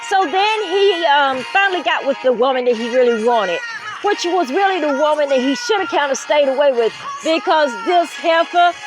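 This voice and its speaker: With music in the background and audible room echo, a woman speaks in a Southern US accent at a moderate pace, her high voice making very wide pitch swings. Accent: Southern US twang. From US South, Greer, South Carolina. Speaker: author and commentary channel host. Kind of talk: casual storytelling commentary. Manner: conversational, filler-heavy.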